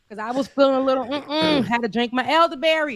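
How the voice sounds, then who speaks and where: Speaking at a fairly quick pace with a slight Florida accent, a woman sounds animated, her high voice carrying lively intonation. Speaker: live show co-host. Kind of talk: casual chat.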